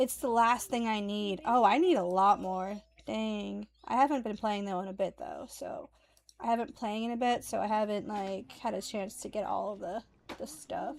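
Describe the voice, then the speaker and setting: A woman speaks with an American accent in a normal speaking voice, at a medium pitch. Her pace is moderate and her pitch variation ordinary. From United States. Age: 30s. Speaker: streamer. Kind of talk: casual chat.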